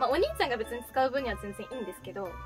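Someone talks with a Fukuoka accent over clear music in the background. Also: woman. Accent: Hakata dialect. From Fukuoka, Japan. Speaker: idol. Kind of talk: casual talk to camera. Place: home room.

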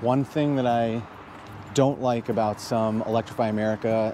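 Amid noticeable background noise, a man with a fairly low pitch talks at a moderate pace with fairly even intonation, in a dry sound with no echo. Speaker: EV channel host. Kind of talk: casual vlog chat. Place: street. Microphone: lapel.

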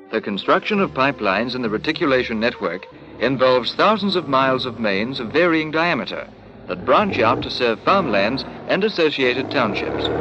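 A man talks rather quickly while noticeable noise fills the background. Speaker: documentary narrator. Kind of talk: documentary narration. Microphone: old recording.

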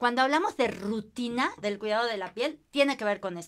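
Her tone is bright and sharp, with a fairly high pitch. This woman's voice shows ordinary pitch variation. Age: 50s. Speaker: skin care consultant; guest. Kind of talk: casual chat. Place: empty room.

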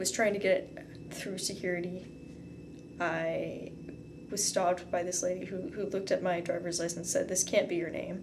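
A woman's fairly low, monotone voice with flat intonation, over noticeable background noise. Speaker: video blogger. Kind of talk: casual vlog chat. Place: home room. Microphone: camera far.

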